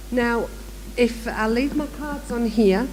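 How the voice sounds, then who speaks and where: A woman with a Manchester accent amid audible room echo and noticeable background noise. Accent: northern English (Manchester area). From northern England, near Manchester. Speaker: education director, workshop speaker. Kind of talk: conference workshop presentation. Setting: conference room with live audience.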